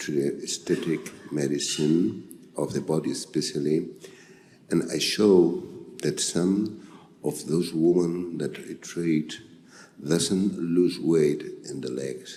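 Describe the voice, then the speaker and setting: Very deep, low male voice with a dark, mellow tone, vocal fry, fairly even intonation, a very slow pace and audible room echo. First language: Spanish. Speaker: physician. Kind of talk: conference talk. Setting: stage with audience. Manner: halting.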